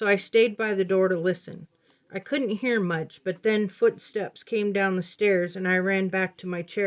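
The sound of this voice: This reading voice is unforced, and its intonation stays fairly even.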